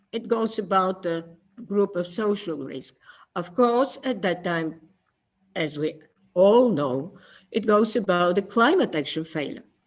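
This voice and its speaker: In a non-native accent, the speaker goes at a fairly slow pace with long, frequent pauses. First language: not English. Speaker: conference speaker. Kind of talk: conference presentation. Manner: halting.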